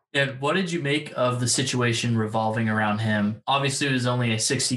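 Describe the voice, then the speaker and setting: This man talks at a fairly quick pace in an ordinary speaking voice, his pitch medium. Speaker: podcast co-host. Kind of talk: casual interview.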